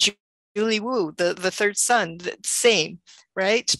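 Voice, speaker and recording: A woman with a Canadian accent and ordinary pitch variation comes through with a dry, close sound and no echo. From Canada (Toronto and Richmond). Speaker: writer. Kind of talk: panel conversation. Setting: video call. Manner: halting.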